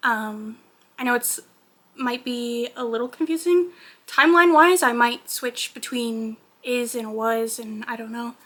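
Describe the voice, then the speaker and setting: Speaking at a moderate pace, a woman with a bright, sharp tone and a high pitch uses ordinary pitch variation. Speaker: crochet artist and small business owner. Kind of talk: casual vlog talk. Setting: home, on couch in living room. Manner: casual, with frequent fillers.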